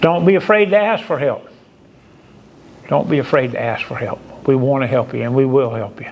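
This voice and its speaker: The speech moves fairly quickly with lively intonation, broken by long, frequent pauses. Loudness swings widely, and background noise is noticeable. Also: man, medium pitch for a man. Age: 70s. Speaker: firefighter assistance program counselor. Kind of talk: speech at awards ceremony.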